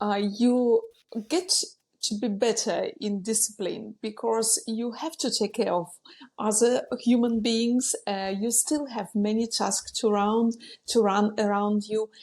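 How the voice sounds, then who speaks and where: Her pace is very slow. A woman speaks with a fairly high pitch and fairly even intonation. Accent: Ukrainian. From Ukraine. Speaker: business coach. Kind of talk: podcast interview. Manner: some hesitations.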